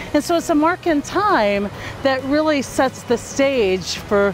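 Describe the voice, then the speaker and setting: A woman speaks with lively intonation over light background noise, the sound dry with no echo. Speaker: speaker. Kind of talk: reflective talk to camera. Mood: warm and reflective. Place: beach.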